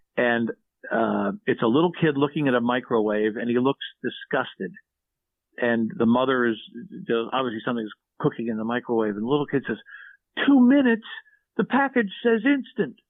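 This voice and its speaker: Talking at a fairly quick pace, a man with an American accent sounds animated. He leaves long, frequent pauses. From Philadelphia area, US. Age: 60s. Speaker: former shopping TV host and songwriter. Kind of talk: casual podcast interview. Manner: animated storytelling, many repetitions.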